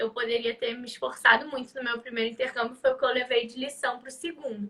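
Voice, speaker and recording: A woman's raised, projected voice rings out with a bright, sharp tone. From Rio de Janeiro, Brazil. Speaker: live stream host. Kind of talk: casual chat. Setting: live stream.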